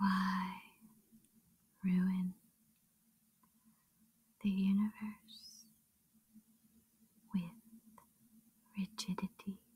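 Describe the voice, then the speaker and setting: A soft-spoken woman talks at a very slow pace. She leaves long, frequent pauses. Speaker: ASMR meditation guide. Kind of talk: meditation reading. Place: home room.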